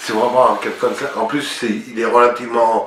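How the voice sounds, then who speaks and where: Behind the man there is noticeable background noise. His pace is fairly slow. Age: 60s. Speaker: dental patient. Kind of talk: testimonial to camera.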